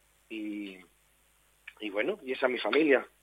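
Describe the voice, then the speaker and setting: Lively intonation runs through a plain, everyday voice at a moderate pace. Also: man. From Spain, Torre Pacheco (Murcia region). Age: young. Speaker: actor. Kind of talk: radio interview.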